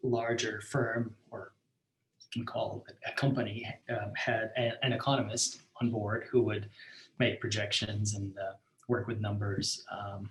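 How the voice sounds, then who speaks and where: A man speaks at a medium pitch in a somewhat breathy, flat, monotone way at a fairly slow pace. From Belarus. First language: Russian. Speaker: startup co-founder and engineer. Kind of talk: interview. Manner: halting, many fillers.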